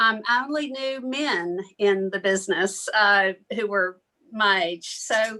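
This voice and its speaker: A woman with a Southern US accent speaks in a fairly high pitch, her bright, sharp tone rising and falling in an ordinary way. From US South, small-town Alabama. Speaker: journalist. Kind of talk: casual self-introduction in a workshop.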